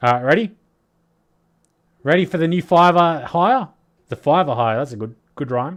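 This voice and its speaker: Speaking at a moderate pace with long, frequent pauses, a man with an Australian accent uses lively intonation at a fairly high pitch. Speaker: crypto commentator livestreamer. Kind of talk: livestream commentary.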